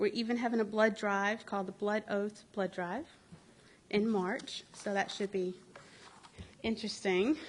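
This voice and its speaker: At a moderate pace, a woman speaks in a fairly high pitch with fairly even intonation. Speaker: librarian. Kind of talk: public announcement at council meeting.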